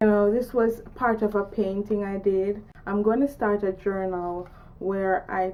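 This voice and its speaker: A woman with a Jamaican accent speaks at a fairly slow pace, medium in pitch and monotone, with flat intonation. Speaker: artist and vlogger. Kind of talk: casual video tutorial. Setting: outdoors downtown.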